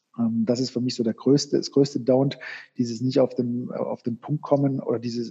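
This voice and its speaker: Here a man speaks in a monotone, flat delivery with a dark, mellow tone. The somewhat breathy voice sounds dry and close, with no echo. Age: 40s. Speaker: sports marketing sales manager. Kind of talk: interview. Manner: halting, many filler sounds.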